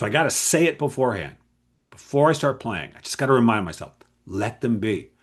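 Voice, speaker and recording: A man with vocal fry speaks in an animated tone over a quiet background. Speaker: game writer and creativity coach. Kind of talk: casual solo talk to camera. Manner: fast.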